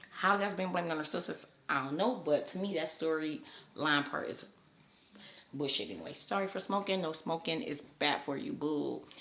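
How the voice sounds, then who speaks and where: Lively intonation comes through along with audible room echo and noticeable background noise. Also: woman, fairly low pitch for a woman. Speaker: YouTuber. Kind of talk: casual commentary vlog. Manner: fast.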